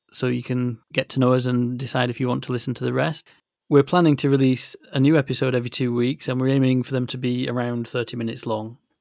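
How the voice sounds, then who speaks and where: At a very fast pace, a man with a Yorkshire accent speaks at medium pitch with fairly even intonation and a dry, close sound with no echo. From West Yorkshire, northern England. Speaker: podcast co-host, mobile app developer. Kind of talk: casual chat.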